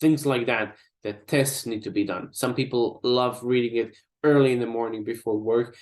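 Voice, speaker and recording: At a medium pitch and moderate speed, a man talks in an unremarkable speaking voice. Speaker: digital marketing trainer. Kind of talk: online workshop presentation.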